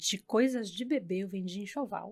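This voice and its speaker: A woman of medium pitch speaks at a moderate pace. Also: very clean recording, silent background. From Brazil, São Paulo and Santos coast. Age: 30s. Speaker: hairdresser. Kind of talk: casual chat. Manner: animated.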